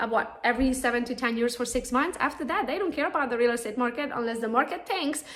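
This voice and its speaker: In a Romanian accent, a woman talks at a very fast pace and high pitch with hardly any pauses and ordinary pitch variation. Noticeable background noise and audible room echo fill the recording. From Romania, Transylvania. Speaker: real estate agent and social media trainer. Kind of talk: conference talk.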